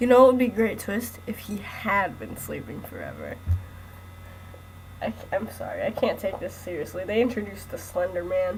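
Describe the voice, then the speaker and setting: At a moderate pace, a woman speaks with big swings in loudness over noticeable background noise. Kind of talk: read story. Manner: joking, can't keep a straight voice.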